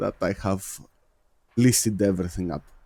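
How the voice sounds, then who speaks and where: A man's dark, mellow tone with a Greek accent, at a fairly slow pace. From Greece. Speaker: video game streamer. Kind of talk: live game stream commentary. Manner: halting, many fillers.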